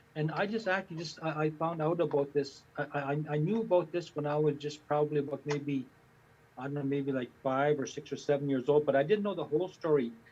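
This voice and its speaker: A man's fairly high, somewhat breathy voice at a fairly quick pace, with fairly even intonation. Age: 60s. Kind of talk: personal testimony in panel talk. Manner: halting, many repetitions and fillers.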